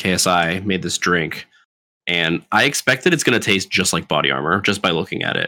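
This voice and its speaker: With an American accent, a man speaks at a moderate pace in a very deep, low voice, with ordinary pitch variation and a bright, sharp tone. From Florida. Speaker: podcast co-host. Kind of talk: casual chat. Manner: comes across as arrogant.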